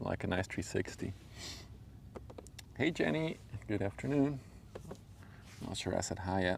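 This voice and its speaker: A man with a fairly low pitch and vocal fry at a moderate pace. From Belgium (Flemish). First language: Dutch. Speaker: livestreamer, ship spotter. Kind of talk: live stream chat. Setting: outdoors by a river. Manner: casual, halting with fillers.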